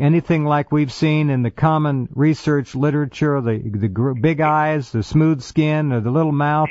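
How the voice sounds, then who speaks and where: With an ordinary speaking voice, a man talks at a moderate pace with a fairly high pitch and ordinary pitch variation. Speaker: radio talk show host. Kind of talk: radio interview questions.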